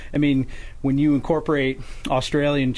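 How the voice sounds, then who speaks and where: A man with an American accent in an unremarkable speaking voice, fairly even in intonation, at a moderate pace. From northern New York. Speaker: lumberjack competitor and forester. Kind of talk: radio interview. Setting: radio studio.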